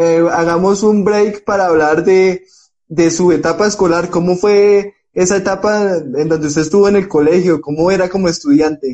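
A man speaks in a high pitch at a very even loudness. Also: fairly even intonation, moderate pace. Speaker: sports podcast host. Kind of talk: interview. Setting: Instagram live video call.

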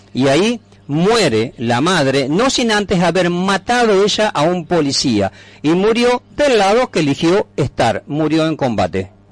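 At a fairly slow pace, a man speaks in a high voice with very wide pitch swings. His loudness stays very even. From Entre Ríos, Argentina (Paraná). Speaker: activist, patriotic movement founder. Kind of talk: radio interview. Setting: radio studio.

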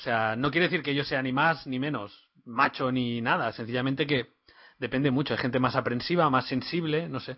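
A man with a normal speaking voice talks at a moderate pace, his medium pitch showing ordinary pitch variation. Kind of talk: casual chat.

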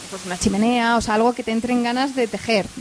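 A woman speaks in a monotone, flat intonation over noticeable background noise. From Spain, Madrid. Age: 30s. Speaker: entrepreneur. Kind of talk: onstage interview.

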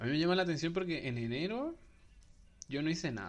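With lively intonation and a fairly quick pace, a man speaks in a plain, everyday voice. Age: 20s. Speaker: podcast host. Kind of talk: casual chat.

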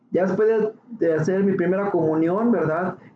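A man's voice, showing ordinary pitch variation, comes through over noticeable background noise. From Ciudad Juárez, northern Mexico. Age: 30s. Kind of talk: testimony. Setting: radio studio.

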